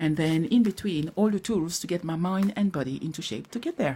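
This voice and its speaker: Speaking with a French accent, a woman uses a fairly low pitch and a dark, mellow tone with lively intonation. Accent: non-native English, French. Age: 40s. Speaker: vlogger sharing personal grief recovery. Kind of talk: personal vlog, motivational talk. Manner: halting.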